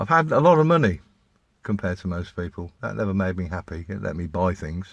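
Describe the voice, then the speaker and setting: Very clean and silent in the background, the recording captures a man with an English accent. His pitch is very deep and low, and he talks at a fairly quick pace. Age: 60s. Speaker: vlogger. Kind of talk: casual monologue. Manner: halting.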